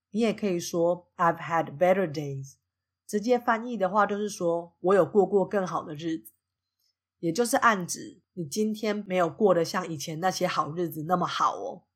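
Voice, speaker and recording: Speaking with a Taiwanese accent at a moderate pace, a woman with a medium pitch shows ordinary pitch variation and big swings in loudness on a very clean recording with a silent background. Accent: Taiwanese Mandarin. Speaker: podcast host teaching English. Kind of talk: podcast monologue with English lesson.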